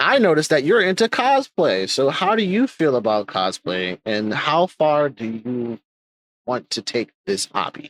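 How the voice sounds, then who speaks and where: A man's fairly high voice with very wide pitch swings at a fairly slow pace, in dry, close sound with no echo. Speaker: podcast host. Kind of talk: casual interview chat. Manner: speaks in a raised higher pitch to be heard; halting, repeats words.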